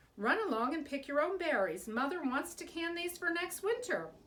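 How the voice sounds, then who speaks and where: Putting on a character voice, a woman speaks at a moderate pace and an extremely high pitch, with very wide pitch swings. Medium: read story.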